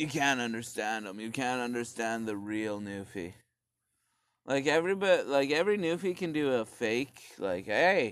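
Here a man speaks with a Canadian accent at a moderate pace. His medium-pitched voice has lively intonation. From Canada. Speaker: solo podcaster. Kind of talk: casual rant monologue. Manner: animated.

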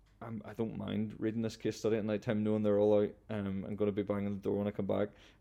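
A man with a Northern Irish accent, very fast, fairly low in pitch, with a dark, mellow tone, monotone, flat intonation and a quiet background. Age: 20s. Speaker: founder of a clothing company. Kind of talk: interview.

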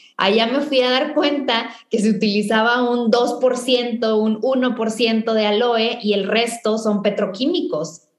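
A woman's voice carries audible room echo. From Mexico, northern Tamaulipas. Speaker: chemical engineer and entrepreneur. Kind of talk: interview.

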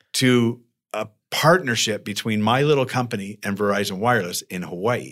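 With an American accent and an unremarkable speaking voice, a man speaks at a moderate pace with lively intonation. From Arizona, Tucson. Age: 50s. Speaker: serial entrepreneur. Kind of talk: interview. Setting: co-working space.

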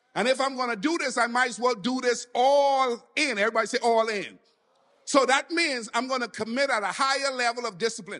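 Over background music, a man with an extremely high pitch speaks at a moderate pace in a raised, projected voice with an animated tone. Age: 40s. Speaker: pastor. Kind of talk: sermon. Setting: church.

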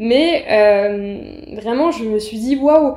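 Her voice is high, with a dark, mellow tone and lively intonation, coming from a woman. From Paris suburbs, Seine-Saint-Denis (Aulnay-sous-Bois). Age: 20s. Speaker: journalist. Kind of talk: interview.

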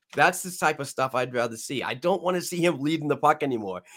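The speaker has a New England accent. The pitch varies in an ordinary way. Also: man. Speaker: podcast host. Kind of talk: live-streamed sports podcast chat. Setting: live stream.

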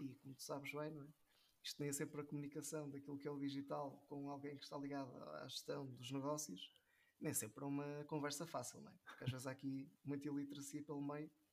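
Rushing along at a very fast pace, a man with a northern Portuguese accent holds a fairly high pitch in a monotone, flat delivery. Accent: northern European Portuguese. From northern Portugal. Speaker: digital marketing professional. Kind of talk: casual interview chat.

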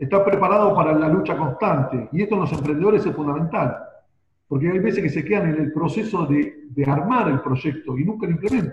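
A man talks at a fairly quick pace with lively intonation. His is an ordinary speaking voice, set fairly high. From Argentina, Buenos Aires. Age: 50s. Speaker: marketing consultant. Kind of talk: interview.

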